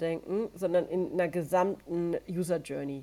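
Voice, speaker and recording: A woman talks at a fairly slow pace in a dark, mellow tone. Her pitch varies in an ordinary way. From Franconia, Bavaria. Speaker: cycling agency managing director. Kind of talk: podcast interview.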